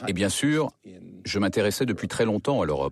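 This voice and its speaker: Lively in intonation, a man talks in a normal speaking voice that is fairly low in pitch. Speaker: voice-over artist. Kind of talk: documentary voice-over reading the translated testimony of an interviewee; documentary voice-over for a broadcast documentary.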